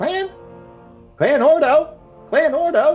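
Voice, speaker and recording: Faint music plays behind a put-on character voice. The voice is high-pitched. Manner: chirping, robotic.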